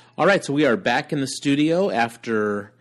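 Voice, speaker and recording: A man with a plain, everyday voice talks at a moderate pace and fairly high pitch, with ordinary pitch variation over a quiet background. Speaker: homeschooling podcast co-host. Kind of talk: casual chat. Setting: in a car.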